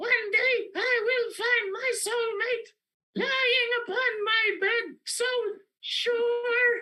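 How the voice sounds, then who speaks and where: A squeaky, put-on character voice at an extremely high pitch and a very slow pace. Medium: actual play. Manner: odd, declamatory outbursts.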